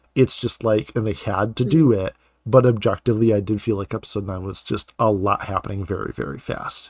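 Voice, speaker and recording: The very clean recording, with a silent background and a dry, close sound with no echo, captures a man speaking with vocal fry. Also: fairly low pitch for a man, ordinary pitch variation, fairly quick pace. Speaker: podcast host and author. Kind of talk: casual chat.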